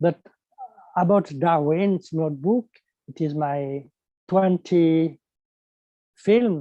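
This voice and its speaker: Very slow speech from a man with a French accent, high in pitch and dark, mellow in tone, ordinary pitch variation, dry and close with no echo. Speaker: animation filmmaker. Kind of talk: panel interview. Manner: halting.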